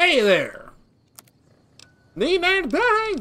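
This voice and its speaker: In a put-on character voice with a Southern accent, the speaker hits an extremely high pitch and makes very wide pitch swings. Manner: friendly greeting.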